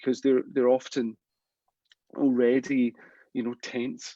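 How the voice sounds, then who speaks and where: In a dry, close recording with no echo, a man with a Scottish accent speaks in a dark, mellow tone. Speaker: implant dentist. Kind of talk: live stream Q&A, advice to a junior dentist. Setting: live stream. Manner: hesitant, many repetitions and fillers.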